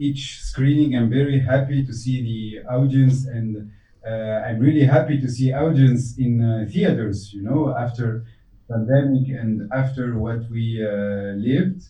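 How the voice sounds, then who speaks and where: A man speaks at a fairly slow pace with a non-native accent and a somewhat breathy voice. His pitch varies in an ordinary way, and room echo can be heard. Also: medium pitch for a man. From Tunisia. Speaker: film director. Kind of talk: Q&A interview. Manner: halting.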